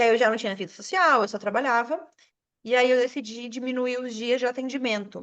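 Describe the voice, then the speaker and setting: Fairly quick speech with ordinary pitch variation. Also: woman, high pitch for a woman. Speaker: self-employed studio owner, podcast guest. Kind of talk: casual chat. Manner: animated.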